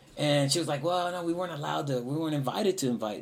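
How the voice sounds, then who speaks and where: In an American accent, a man with a fairly high pitch talks at a very fast pace with lively intonation, and audible room echo surrounds him. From Houston, Texas. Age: 40s. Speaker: musician and composer. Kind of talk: interview.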